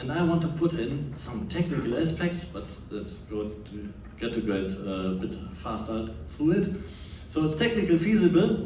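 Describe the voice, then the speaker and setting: With a German accent, a man speaks at a moderate pace and a fairly high pitch, his pitch swinging very widely, amid noticeable background noise and audible room echo. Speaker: scientist and former policy advisor. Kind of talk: presentation talk. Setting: stage with audience. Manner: halting.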